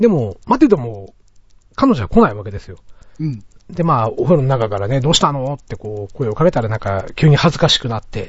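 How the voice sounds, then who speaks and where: A man speaks at medium pitch and a fairly quick pace, somewhat breathy. His pitch swings very widely and his loudness rises and falls a lot. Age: middle-aged. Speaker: podcast host. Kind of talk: casual chat.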